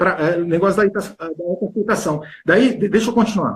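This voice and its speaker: Ordinary pitch variation shapes a man's high voice as he talks at a fairly quick pace. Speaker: health and weight-loss coach. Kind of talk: interview on a live stream. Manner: fast; animated.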